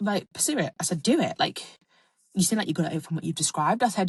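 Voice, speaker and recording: Very fast and animated, a woman at medium pitch sounds somewhat breathy, with ordinary pitch variation and a dry, close sound with no echo. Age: 20s. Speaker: podcast host. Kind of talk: casual monologue.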